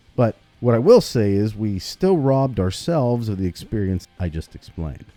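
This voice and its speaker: Music sits in the background. Over it, a man talks with lively intonation. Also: fairly low pitch for a man, moderate pace. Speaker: gaming YouTuber. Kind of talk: video essay commentary.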